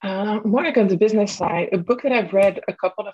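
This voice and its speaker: A woman with a medium-pitched, somewhat breathy voice speaks with ordinary pitch variation. The sound is dry and close, with no echo. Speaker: wine tech founder. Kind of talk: casual chat.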